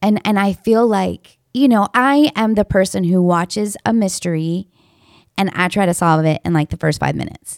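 In a very clean recording with a silent background and a dry, close sound with no echo, a woman with a plain, everyday voice speaks at a moderate pace and medium pitch with ordinary pitch variation. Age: 40s. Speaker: podcast host. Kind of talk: casual chat.

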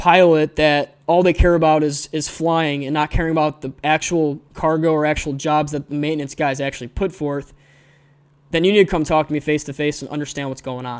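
At a moderate pace, a man with an American accent speaks in a fairly high pitch. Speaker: podcast host and aviation maintenance student. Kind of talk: angry rant; argumentative discussion. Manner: fired up, scolding; emphatic, exasperated.

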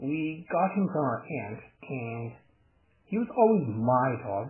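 A man speaks at medium pitch with lively intonation. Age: 20s. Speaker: animator and internet radio station runner. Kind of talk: casual chat.

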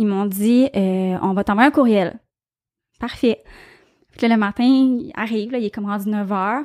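On a very clean recording with a silent background and dry, close sound with no echo, a woman speaks fairly slowly at a fairly high pitch with ordinary pitch variation and long, frequent pauses. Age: 30s. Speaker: guest sharing infertility experience. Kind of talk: testimony.

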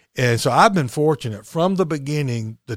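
A man with an Alabama accent talks at a fairly quick pace in a dry, close recording with no echo, very clean and with a silent background. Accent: US Southern (Alabama). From Alabama (Chelsea, near Birmingham). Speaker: recovery coach. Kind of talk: interview about recovery and spirituality.

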